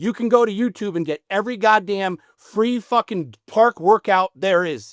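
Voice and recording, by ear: On a very clean recording with a silent background, a man talks at a moderate pace in a fairly bright tone. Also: dry, close sound with no echo.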